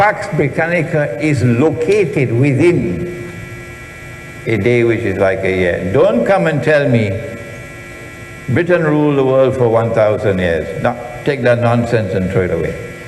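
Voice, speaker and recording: Amid audible room echo and noticeable background noise, a man at medium pitch speaks at a fairly slow pace with very wide pitch swings and long, frequent pauses. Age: 70s. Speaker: Islamic scholar and lecturer. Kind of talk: lecture. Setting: auditorium with audience.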